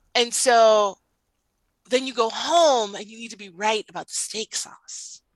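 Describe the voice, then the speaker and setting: Speaking at a fairly slow pace with a plain, everyday voice, a woman uses a fairly high pitch with ordinary pitch variation and big swings in loudness, in a dry, close sound with no echo. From Cuban heritage, Latin American background. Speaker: marriage coach. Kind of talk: casual chat. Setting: podcast recording.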